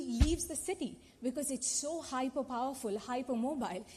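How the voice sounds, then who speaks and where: A woman's high-pitched voice with a Telugu accent, at a fairly quick pace. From India, Telugu-speaking region. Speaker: activist panelist. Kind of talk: conference panel talk. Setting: conference auditorium.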